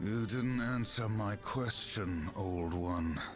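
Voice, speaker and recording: Over loud background music, a man puts on a character voice, fairly low in pitch and at a very slow pace. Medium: game stream. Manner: terse, cold.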